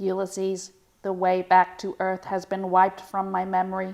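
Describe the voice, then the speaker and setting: A female-sounding put-on character voice moves at a moderate pace with monotone, flat intonation. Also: medium pitch for a woman. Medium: dub. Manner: slightly robotic.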